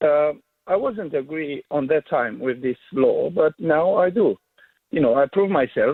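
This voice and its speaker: A fairly high-pitched man in a Romanian accent, with lively intonation, very even loudness and a fairly slow pace. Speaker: caller. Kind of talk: radio phone-in. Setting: phone call.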